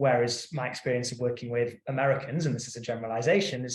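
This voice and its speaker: A man talks at a very fast pace, using a medium pitch and fairly even intonation. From UK. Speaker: in-house counsel panelist. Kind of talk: panel discussion. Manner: halting, many repetitions.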